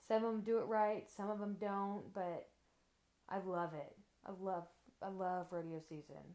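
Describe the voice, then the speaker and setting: Speaking at a fairly slow pace with long, frequent pauses, a woman with an American accent has a medium pitch, a dark, mellow tone and fairly even intonation. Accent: Texan country accent, stronger around family. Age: 20s. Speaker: interviewee. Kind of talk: casual interview chat.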